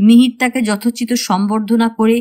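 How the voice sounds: Reading done in a natural reading voice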